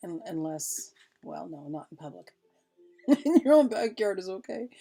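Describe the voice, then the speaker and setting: Over music in the background, a woman with a medium pitch makes very wide pitch swings. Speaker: spiritual teacher / card reader. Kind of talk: reading aloud with commentary. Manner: halting, repeats words.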